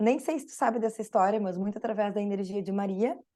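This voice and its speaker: In a Brazilian accent, a woman speaks with a fairly high pitch, a dark, mellow tone and ordinary pitch variation against a quiet background. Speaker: spiritual therapist and teacher. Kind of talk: podcast interview.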